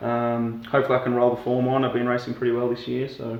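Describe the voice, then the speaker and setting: With an Australian accent, a man speaks in a medium pitch with monotone, flat intonation, amid noticeable background noise and audible room echo. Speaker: professional triathlete. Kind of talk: comedic interview.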